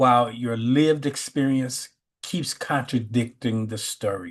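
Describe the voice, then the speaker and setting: Against a quiet background, a man with an American accent speaks at a very slow pace. His pitch varies in an ordinary way. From US Midwest, Chicago west side. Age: 60s. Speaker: spiritual teacher. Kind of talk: sermon; casual chat. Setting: video call.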